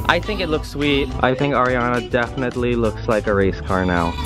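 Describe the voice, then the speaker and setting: Clear music sounds in the background. Over it, a man talks at a fairly quick pace. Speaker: car vlogger. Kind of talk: casual vlog chat. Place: street. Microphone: phone near.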